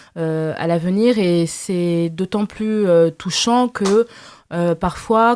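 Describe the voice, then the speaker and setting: Recorded with a dry, close sound and no echo, a woman speaks at a very slow pace with a medium pitch. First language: Lingala (speaking French). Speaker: novelist. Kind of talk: interview. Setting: literary festival press area. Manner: halting, many fillers.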